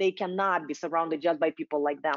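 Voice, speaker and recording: A woman with a non-native accent. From Russia. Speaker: diversity and inclusion speaker. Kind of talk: webinar presentation. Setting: online webinar.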